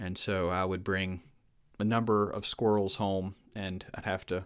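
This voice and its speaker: On a very clean recording with a silent background, a man with a Southern US accent speaks at a fairly low pitch. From Virginia. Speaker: podcast host. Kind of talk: casual chat.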